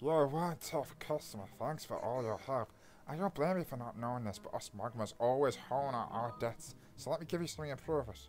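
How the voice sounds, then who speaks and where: Over clear background noise, a put-on character voice in a low-to-middle pitch moves at a fairly quick pace. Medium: game stream.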